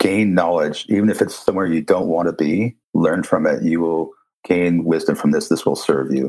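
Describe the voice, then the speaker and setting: Delivered at a moderate pace, the speech carries an American accent. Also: man, very deep, low pitch for a man, ordinary pitch variation. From USA. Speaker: sound healer and throat singer. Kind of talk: interview. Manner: halting.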